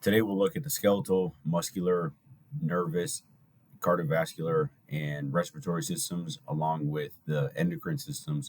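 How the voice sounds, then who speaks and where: This man's voice sits at a very deep, low pitch. His intonation is lively. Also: moderate pace. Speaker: lecturer. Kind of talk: lecture.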